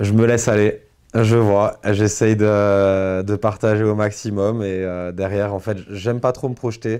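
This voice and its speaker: Against a quiet background, a man talks at a fairly slow pace in a fairly low, dark, mellow voice with monotone, flat intonation. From Corsica, France (Bastia); Corsica, France. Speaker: musician; interviewee. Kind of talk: interview. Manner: halting, many fillers. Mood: relaxed, smiling. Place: studio.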